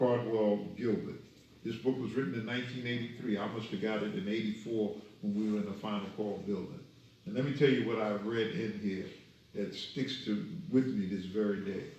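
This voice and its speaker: Amid noticeable background noise and audible room echo, a man talks fairly quickly at a fairly low pitch with fairly even intonation. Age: 70s. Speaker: minister. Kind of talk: lecture. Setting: study group.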